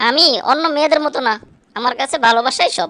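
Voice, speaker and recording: A cartoonish character voice at a fairly quick pace. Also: female-sounding voice, high pitch for a woman. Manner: dramatic, indignant.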